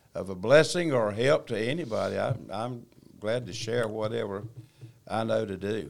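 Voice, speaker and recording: With a North Carolina accent, a man speaks at a moderate pace. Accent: Southern US, North Carolina. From North Carolina, China Grove. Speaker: church member sharing testimony. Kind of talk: testimony. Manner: halting.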